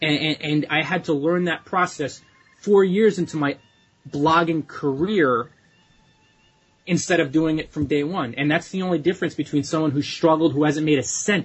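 Over music in the background, a man with an American accent talks at a moderate pace with fairly even intonation. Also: fairly high pitch for a man. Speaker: blogging coach. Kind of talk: podcast advice answering a listener question.

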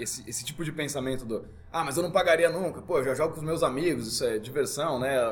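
A man talks at a very fast pace with a fairly high pitch and ordinary pitch variation. Audible room echo and noticeable background noise are present. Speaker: RPG game master. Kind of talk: casual chat. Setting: live recording at a game venue.

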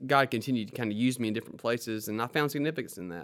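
Recorded very cleanly against a silent background, a man with a Southern US accent speaks at a medium pitch with ordinary pitch variation. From Mississippi Delta, US South. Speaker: lawyer and small group leader. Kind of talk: interview, telling personal story.

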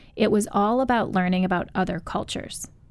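A woman with an ordinary speaking voice and an American accent speaks at medium pitch and a moderate pace. Her intonation is fairly even, and the recording is very clean, with a silent background. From US Midwest. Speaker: author. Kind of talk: radio interview, book discussion. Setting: studio.

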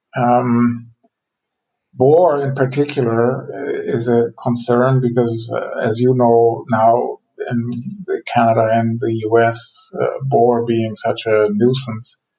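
A man with a German accent talks at a very slow pace, his medium pitch and intonation fairly even. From Germany. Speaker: forest economist. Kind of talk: interview.

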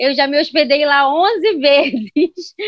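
Speaking at a very slow pace in a Carioca accent, a woman uses a high pitch with ordinary pitch variation. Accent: carioca Brazilian Portuguese. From Rio de Janeiro, Brazil. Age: 30s. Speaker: travel blogger. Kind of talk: podcast interview.

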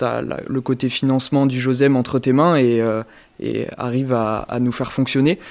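Here is a man with a medium pitch. His intonation is monotone and flat. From Périgueux, Dordogne, France. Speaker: youth orchestra member and treasurer. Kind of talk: interview.

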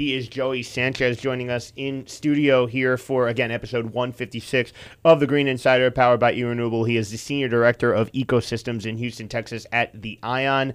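The delivery is fairly quick and monotone, with flat intonation and hardly any pauses. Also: man, medium pitch for a man. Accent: American. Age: 20s. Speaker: podcast host. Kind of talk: podcast interview. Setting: studio.

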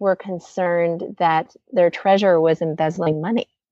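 A woman with a West Coast US accent. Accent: American, US West Coast. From Oregon, US. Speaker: community organizer, daughter of a volunteer. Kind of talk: interview storytelling. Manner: halting, many fillers.

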